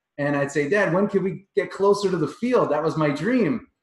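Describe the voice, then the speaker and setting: Lively intonation marks this man's speech. He keeps to a moderate pace. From Long Island, New York. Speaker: performance coach. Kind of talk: interview answer, personal storytelling. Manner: conversational, animated.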